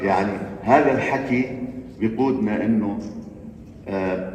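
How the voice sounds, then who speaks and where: A man speaks at a very slow pace with ordinary pitch variation. Audible room echo and noticeable background noise surround him. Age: 70s. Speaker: community leader. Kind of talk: panel discussion remarks.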